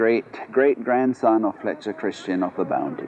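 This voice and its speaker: Over noticeable background noise, a man with a Pitcairn Islands accent speaks at a fairly slow pace. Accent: Pitcairn Islander English. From Pitcairn Island, South Pacific. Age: 50s. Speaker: islander interviewee, radio operator. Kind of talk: interview. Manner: hesitant, with frequent fillers.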